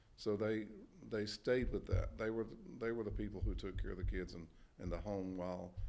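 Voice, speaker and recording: With an eastern North Carolina accent, a man speaks at a moderate pace in a fairly low pitch, his tone dark and mellow and his pitch variation ordinary. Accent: Southern US, eastern North Carolina. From Halifax County, North Carolina. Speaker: Army veteran. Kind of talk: oral history interview answer.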